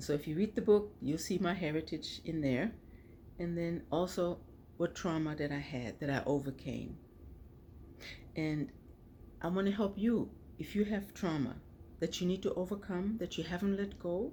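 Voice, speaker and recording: A woman with a fairly low pitch and a dark, mellow tone speaks in a somewhat breathy way at a moderate pace, leaving long, frequent pauses. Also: ordinary pitch variation. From Germany. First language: German. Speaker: author and vlogger. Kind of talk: personal vlog monologue. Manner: conversational, frequent 'okay' and 'right' tags.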